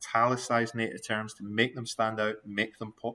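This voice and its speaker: A man with a Scottish accent, medium pitch for a man, moderate pace and a bright, sharp tone. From Scotland. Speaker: university lecturer. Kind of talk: recorded video lecture giving feedback. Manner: animated.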